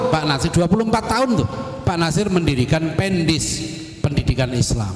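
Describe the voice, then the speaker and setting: Amid audible room echo, a man with a fairly high pitch talks at a fairly quick pace in an animated tone with lively intonation. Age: 50s. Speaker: Islamic preacher. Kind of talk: religious lecture.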